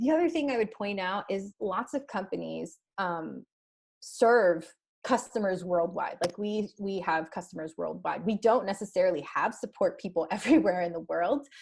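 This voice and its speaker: A woman at a medium pitch and moderate pace, lively intonation with vocal fry. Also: quiet background. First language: Spanish. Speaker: head of customer success, webinar guest. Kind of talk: webinar presentation.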